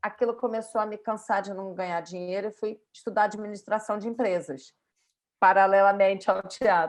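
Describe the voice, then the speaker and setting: A woman with a Brazilian accent, medium pitch and a moderate pace. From Brazil, Rio de Janeiro. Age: 50s. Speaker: yoga and pilates instructor. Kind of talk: podcast interview.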